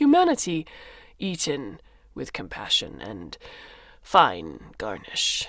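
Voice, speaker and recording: A put-on character voice comes through, wheezy. It leaves long, frequent pauses. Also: fairly slow pace. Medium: read story. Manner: clipped broken phrases with "yes" tags.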